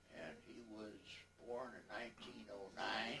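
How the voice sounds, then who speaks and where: Audible room echo hangs around the speech. The speaker is a man with an American accent. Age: 80s+. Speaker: interviewee recounting family history. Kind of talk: family oral history interview.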